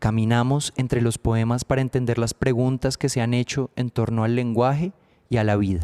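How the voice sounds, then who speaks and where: This man's voice has a dark, mellow tone and medium pitch, with fairly even intonation, very even loudness and a moderate pace, in a dry, close sound with no echo. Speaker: podcast host. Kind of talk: podcast introduction.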